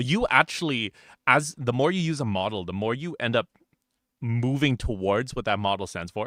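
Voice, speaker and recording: In a very clean recording with a silent background and a dry, close sound with no echo, a man speaks at a moderate pace with lively intonation, an animated tone and a bright, sharp tone. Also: medium pitch for a man. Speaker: vtuber podcast host. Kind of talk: casual chat.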